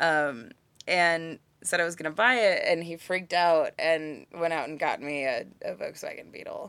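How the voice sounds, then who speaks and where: A woman's fairly low voice with an American accent, lively intonation, big swings in loudness and a moderate pace, on a very clean recording with a silent background. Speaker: writer and activist. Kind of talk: casual interview chat. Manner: animated, casual, profane.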